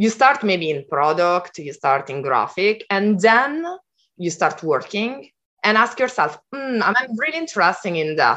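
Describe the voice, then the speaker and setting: A woman with an Italian accent speaks at a medium pitch and a moderate pace. Her pitch swings very widely over a quiet background. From Italy. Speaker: design program leader and educator. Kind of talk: interview. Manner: halting.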